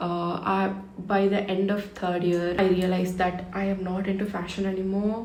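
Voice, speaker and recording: A woman in a Tamil accent, medium pitch and monotone, flat intonation, with noticeable background noise and audible room echo. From India, Tamil Nadu (Thanjavur). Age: 20s. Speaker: beauty content creator. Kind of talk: casual chat while doing makeup. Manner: chatty, conversational.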